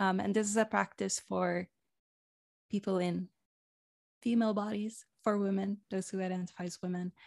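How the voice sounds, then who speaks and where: Over a silent background in a very clean recording, a woman with a non-native accent speaks at a moderate pace in a medium pitch, her intonation monotone and flat, with long, frequent pauses and a dry, close sound with no echo. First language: not English. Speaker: women's coach. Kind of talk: guided meditation; interview conversation.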